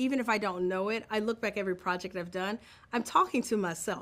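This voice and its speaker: Fairly high-pitched and fairly quick, a woman with an American accent speaks with ordinary pitch variation. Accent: Southern US accent, mostly toned down. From Mississippi, Tupelo. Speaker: film director. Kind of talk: interview.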